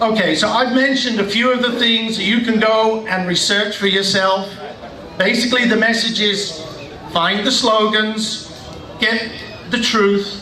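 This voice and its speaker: A man with a British accent in a raised, projected voice, high in pitch, fairly slow and very even in loudness, with fairly even intonation, audible room echo and noticeable background noise. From Britain. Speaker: political rally speaker. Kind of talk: political rally speech.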